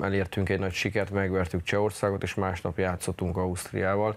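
An ordinary speaking voice, this man's fairly low pitch carries at a fairly quick pace. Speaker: national team ice hockey coach. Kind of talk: TV studio interview. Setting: studio. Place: studio. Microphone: lapel.

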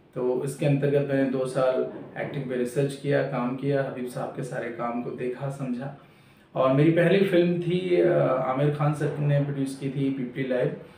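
A man's fairly high voice at a fairly slow pace, fairly even in intonation, with audible room echo and light background noise. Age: 30s. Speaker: actor. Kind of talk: self-introduction. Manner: halting. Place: home room. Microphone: camera far.

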